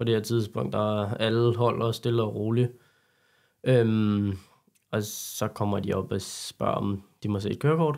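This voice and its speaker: A man's medium-pitched voice at a very slow pace in a very clean recording with a silent background. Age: 20s. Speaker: carpentry apprentice, car enthusiast. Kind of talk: interview.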